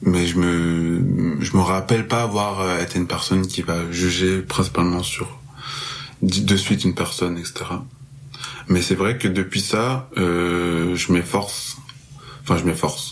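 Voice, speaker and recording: Very deep and low in pitch, a man talks at a very slow pace with long, frequent pauses. His pitch varies in an ordinary way. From Marseille, southern France. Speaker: music festival promoter. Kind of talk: casual podcast interview.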